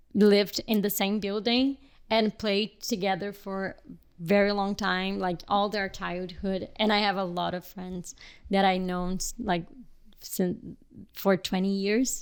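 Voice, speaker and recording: A woman with a Portuguese accent at a medium pitch, fairly slow and monotone with flat intonation, in a very clean recording with a silent background. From Brazil, Rio de Janeiro. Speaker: filmmaker and photographer. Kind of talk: casual podcast interview. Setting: podcast recording with hosts. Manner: halting, many fillers.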